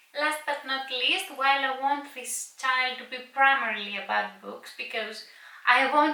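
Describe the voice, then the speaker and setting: A woman speaks at a fairly slow pace over noticeable background noise, with audible room echo. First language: Greek. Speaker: book vlogger. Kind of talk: casual vlog talk to camera. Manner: some hesitations and filler words.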